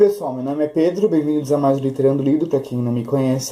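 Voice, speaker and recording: A man is speaking. His pace is very fast. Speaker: book youtuber. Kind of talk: casual book review vlog.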